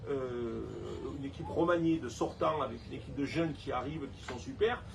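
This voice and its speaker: A man with a Provençal accent, over noticeable background noise. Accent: Provençal Saint-Tropez. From Saint-Tropez, Provence. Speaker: beach club owner and local election candidate. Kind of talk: interview answer. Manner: outspoken, lively.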